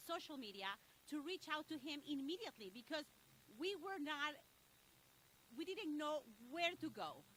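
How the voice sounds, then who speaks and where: Long, frequent pauses break up speech at a moderate pace in a Spanish accent. The tone is bright and sharp, with lively intonation. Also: woman, high pitch for a woman. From Mexico. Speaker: local business association leader. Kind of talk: press conference speech.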